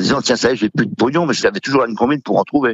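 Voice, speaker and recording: A man speaks with ordinary pitch variation. The sound is dry and close with no echo, against a quiet background. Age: 60s. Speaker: butcher, former gambling addict. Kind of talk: testimony. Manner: hesitant, many fillers.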